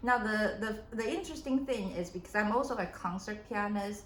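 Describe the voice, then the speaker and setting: A woman's fairly high voice with a non-native accent, ordinary pitch variation and moderate pace, amid audible room echo and noticeable background noise. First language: not English. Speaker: keynote speaker and pianist. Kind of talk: interview. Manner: halting.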